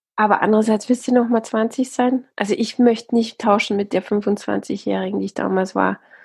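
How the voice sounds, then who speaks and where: With hardly any pauses, a woman speaks at a moderate pace in a somewhat breathy, fairly high voice with fairly even intonation. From Austria. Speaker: TV presenter and author. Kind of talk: casual interview.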